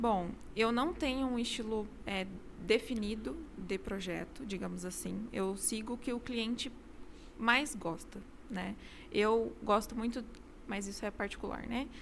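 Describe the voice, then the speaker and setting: Pausing long and often, a woman with a fairly high pitch and vocal fry talks at a fairly slow pace with ordinary pitch variation. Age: 20s. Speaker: architect, interior designer. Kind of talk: interview. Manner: hesitant, many fillers.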